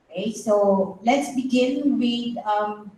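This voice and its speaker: With audible room echo around her, a woman speaks with a Filipino accent. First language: Tagalog. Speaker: psychiatrist speaker. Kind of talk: lecture. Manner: halting.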